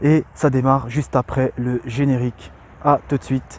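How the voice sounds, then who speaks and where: A man's somewhat breathy voice comes through with a dry, close sound and no echo. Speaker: entrepreneur and online video creator. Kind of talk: sincere motivational talk to camera. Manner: stammering, with pauses to think; hesitant, many filler sounds.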